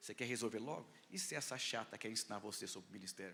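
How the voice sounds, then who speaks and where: A man speaks at a fairly quick pace in a bright, sharp, animated tone with ordinary pitch variation. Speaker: pastor. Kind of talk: sermon.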